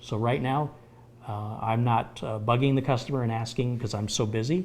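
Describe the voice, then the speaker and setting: A man at a medium pitch, somewhat breathy, with fairly even intonation and a fairly quick pace. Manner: casual, conversational with filler pauses.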